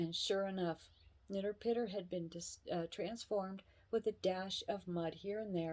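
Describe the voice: The pitch shifts only in ordinary ways during this plain reading aloud.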